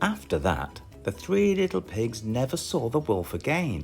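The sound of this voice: A man with a British accent at medium pitch, slightly mellow in tone, with very wide pitch swings at a fairly slow pace and faint music in the background.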